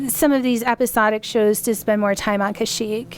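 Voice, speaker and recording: A woman talks at a medium speed. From Colorado, US. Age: 40s. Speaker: podcast sponsor and co-host. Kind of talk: casual chat. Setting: studio. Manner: animated.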